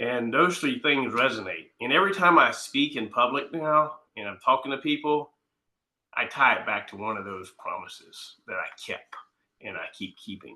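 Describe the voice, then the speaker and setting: Bright and sharp in tone, a man with a fairly high pitch speaks at a moderate pace with lively intonation and big swings in loudness. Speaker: county chairman and veteran. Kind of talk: panel discussion.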